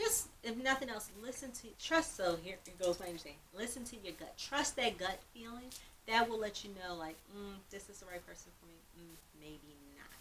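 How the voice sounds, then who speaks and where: A woman's medium-pitched voice with lively intonation and big swings in loudness. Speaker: therapist. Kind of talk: casual chat. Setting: video recording. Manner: fast.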